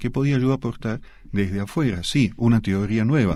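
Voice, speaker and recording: In a very clean recording with a silent background, a man speaks at a moderate pace with a medium pitch, ordinary pitch variation, and a dark, mellow tone. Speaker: sociologist and author. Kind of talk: radio interview.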